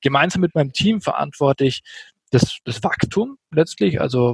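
Somewhat breathy and fairly high-pitched, a man talks at a moderate pace with ordinary pitch variation in a dry, close sound with no echo. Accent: Franconian. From Franconia, Germany. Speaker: software company sales executive. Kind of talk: podcast interview.

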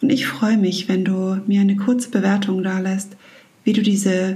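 Speaking in a normal speaking voice, a woman keeps a medium pitch. Her intonation is fairly even and her pace moderate. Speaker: mental and emotion coach, meditation guide. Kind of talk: guided meditation. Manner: gentle, warm, soft-spoken.

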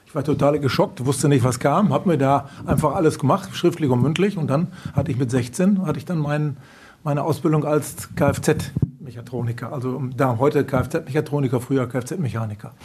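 A plain, everyday voice talks at a moderate pace with ordinary pitch variation. Its loudness swings widely. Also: man, fairly high pitch for a man. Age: 50s. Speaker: car dealership managing director. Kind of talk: interview. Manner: calm.

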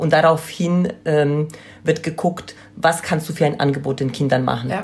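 Against noticeable background noise, a woman with a very deep, low pitch speaks at a moderate pace with ordinary pitch variation. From Poland. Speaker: childcare consultant and trainer. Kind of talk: interview.

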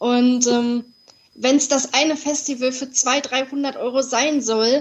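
Very slow speech from a woman with a high pitch. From Ruhr area, Germany (Dortmund). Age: 20s. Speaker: podcast guest with congenital heart defect. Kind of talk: interview.

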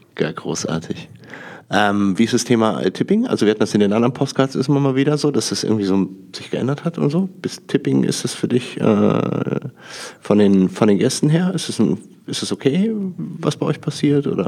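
Moving at a fairly quick pace, a man speaks from a medium pitch with very wide swings up and down. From Rhineland, Germany (Düsseldorf, Lower Rhine). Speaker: podcast host. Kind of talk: interview. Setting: association annual meeting venue. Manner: talkative.

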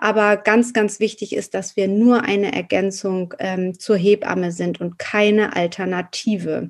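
A woman speaks at a fairly slow pace with hardly any pauses. Her intonation is monotone and flat. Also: medium pitch for a woman. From Hamburg, northern Germany. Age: 40s. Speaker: postpartum doula and naturopath. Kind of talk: interview.

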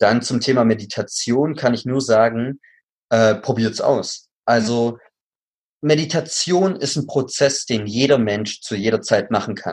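In a very clean recording with a silent background, a man talks at a fairly slow pace in a medium pitch with ordinary variation. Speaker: actor and acting coach. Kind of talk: interview.

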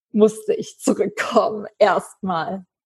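A somewhat breathy, fairly high-pitched woman's voice. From western Germany, Eifel. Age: 20s. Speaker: animal welfare volunteer. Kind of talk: interview.

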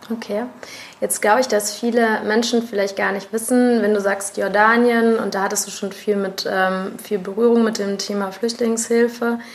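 Through noticeable background noise, a woman speaks at a fairly high pitch with monotone, flat intonation. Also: moderate pace. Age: 30s. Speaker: podcast host. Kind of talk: scripted intro; interview.

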